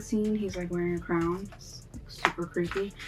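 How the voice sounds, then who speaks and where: A woman speaks over noticeable background noise. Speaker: makeup artist YouTuber. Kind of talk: makeup tutorial. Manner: casual with fillers.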